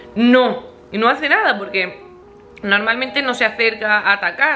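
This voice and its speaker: A woman speaks with clear music in the background. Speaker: vlogger. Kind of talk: casual vlog chat. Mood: relaxed, amused. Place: home room. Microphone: phone near.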